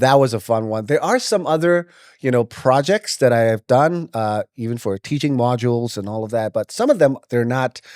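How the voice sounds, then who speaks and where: A man speaks at a medium pitch and a moderate pace with an American accent, his pitch rising and falling in an ordinary way. The sound is dry and close with no echo, on a very clean recording with a silent background. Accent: American-sounding, self-taught from movies. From Myanmar (Yangon). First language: Burmese. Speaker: voice actor. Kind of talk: casual interview.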